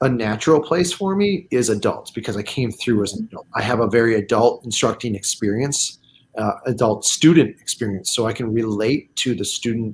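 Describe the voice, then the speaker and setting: The voice is somewhat breathy and moves at a fairly quick pace with hardly any pauses. Its pitch varies in an ordinary way. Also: man, medium pitch for a man. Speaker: martial arts instructor. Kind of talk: livestream interview. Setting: video livestream.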